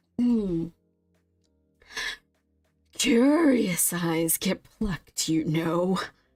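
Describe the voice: A female-sounding, guttural put-on character voice at a medium pitch speaks very slowly with long, frequent pauses over faint music in the background.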